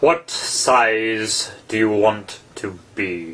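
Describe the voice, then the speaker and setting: A man's put-on character voice, medium in pitch, with ordinary pitch variation. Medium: read story. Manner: curt, short remarks, contradicting.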